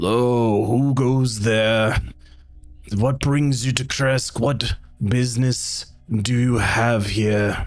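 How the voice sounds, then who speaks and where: Over clear music in the background, a man puts on a character voice at a medium pitch and a very slow pace. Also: very even loudness. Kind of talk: archaic. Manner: stern, challenging.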